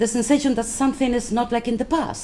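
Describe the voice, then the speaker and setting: A woman speaks with a Spanish accent. The room echo is audible. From Spain, Madrid. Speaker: left-wing politician. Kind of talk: conference speech. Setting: conference round table. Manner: hesitant, many fillers.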